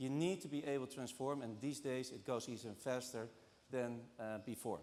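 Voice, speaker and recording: A man with a Dutch accent talks at medium pitch and a moderate pace. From Netherlands. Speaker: banking transformation executive. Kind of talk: conference talk. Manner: halting, many fillers.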